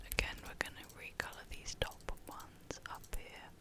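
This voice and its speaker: Noticeable background noise fills the recording. The voice is a whisper. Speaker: ASMR gaming creator. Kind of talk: whispered ASMR gameplay commentary. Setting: home USB microphone. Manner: whispered.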